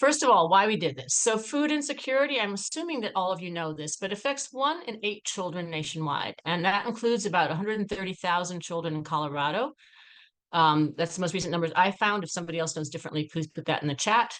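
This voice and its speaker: Against a quiet background, a woman talks at a very fast pace. Her medium pitch moves through very wide swings. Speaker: policy researcher. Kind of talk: webinar presentation. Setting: video call.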